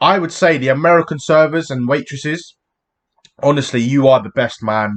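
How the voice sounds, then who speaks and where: This man has a British accent and a fairly high pitch. He talks at a moderate pace with ordinary pitch variation. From England. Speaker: YouTube reactor. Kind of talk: casual chat. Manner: animated.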